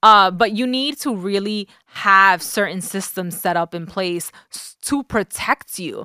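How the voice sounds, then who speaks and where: In a New York accent with a bright, sharp tone, the speaker goes at a fairly slow pace with ordinary pitch variation and big swings in loudness, on a very clean recording that is dry and close with no echo and a silent background. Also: woman, medium pitch for a woman. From the Bronx, New York. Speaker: personal finance coach. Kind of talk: interview.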